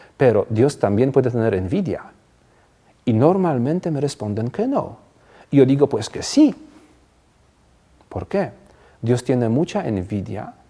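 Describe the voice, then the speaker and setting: A man's medium-pitched voice, dark and mellow in tone, with lively intonation, a fairly slow pace and long, frequent pauses. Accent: non-native. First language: not Spanish (speaking Spanish). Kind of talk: TV interview. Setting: TV studio.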